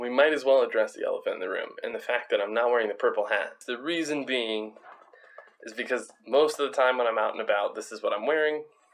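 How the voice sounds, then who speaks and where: A man rattles along at a very fast pace against noticeable background noise. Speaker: vlogger and streamer. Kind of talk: casual talk to camera.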